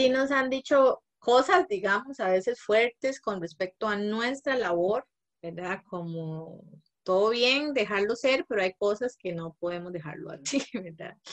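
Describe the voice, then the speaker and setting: An ordinary speaking voice from a woman, fairly high-pitched with lively intonation at a fairly slow pace, dry and close with no echo. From Costa Rica, Guanacaste. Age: 30s. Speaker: social anthropologist, mother. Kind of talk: interview conversation.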